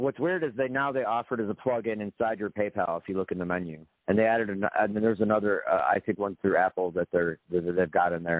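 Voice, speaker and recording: A man talks at a very fast pace with hardly any pauses. His pitch is fairly low and varies in an ordinary way. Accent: American. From US Midwest, Grand Rapids, Michigan. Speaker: artist and software developer. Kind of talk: casual interview chat. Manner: halting, many repetitions.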